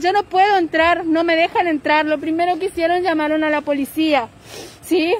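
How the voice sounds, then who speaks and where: A woman's extremely high voice at a moderate pace, dry with no echo. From Formosa, Argentina. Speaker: grieving relative making a public appeal. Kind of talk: live-stream appeal. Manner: urgent, pleading. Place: street. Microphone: phone near.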